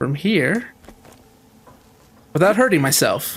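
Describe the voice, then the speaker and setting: A man is speaking here. His pace is fairly slow. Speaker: streamer playing a video game. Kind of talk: casual, conversational.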